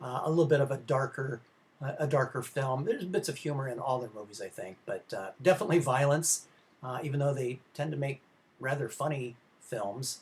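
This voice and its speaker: This man talks at a fairly quick pace with a fairly high pitch. His voice is somewhat breathy. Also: ordinary pitch variation. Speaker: film history professor. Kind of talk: lecture. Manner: halting, many fillers.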